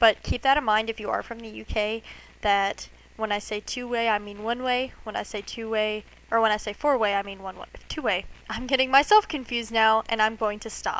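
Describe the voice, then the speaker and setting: An unremarkable speaking voice from a woman with an American accent, fairly high in pitch, at a fairly quick pace, with fairly even intonation and big swings in loudness. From United States. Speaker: cosplay maker. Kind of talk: tutorial. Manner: casual.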